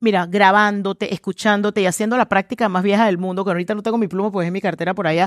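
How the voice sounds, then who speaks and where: Against a quiet background, a woman talks at a very fast pace with hardly any pauses, the sound dry with no echo. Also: medium pitch for a woman. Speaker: communications trainer and speaker; communications trainer, speaker. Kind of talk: interview conversation. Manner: energetic, loud. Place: studio. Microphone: headset.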